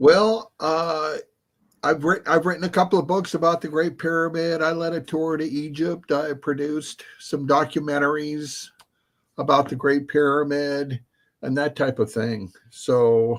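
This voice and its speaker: Speaking in a plain, everyday voice, a man uses a fairly high pitch with ordinary variation. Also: fairly slow pace. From United States. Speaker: author and researcher. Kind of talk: live stream interview.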